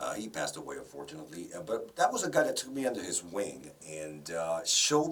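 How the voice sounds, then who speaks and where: Over noticeable background noise, a man speaks with a strong Spanish accent. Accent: heavy Spanish. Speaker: broadcaster and voice-over professional. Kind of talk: interview.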